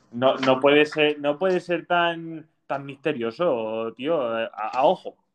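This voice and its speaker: This man speaks at a very slow pace, his fairly high pitch showing ordinary variation. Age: 20s. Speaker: podcast host. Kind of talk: casual chat.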